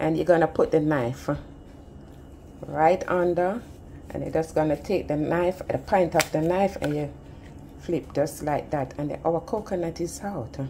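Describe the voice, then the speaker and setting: A woman speaks at a fairly slow pace in a very deep, low voice with ordinary pitch variation. Noticeable background noise is present. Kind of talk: tutorial. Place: kitchen. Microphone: phone near.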